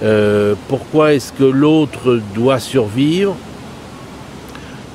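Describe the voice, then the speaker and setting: With ordinary pitch variation and a medium pitch, this man's voice carries over noticeable background noise. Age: 60s. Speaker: interviewee, philosophy background. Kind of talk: interview. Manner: hesitant.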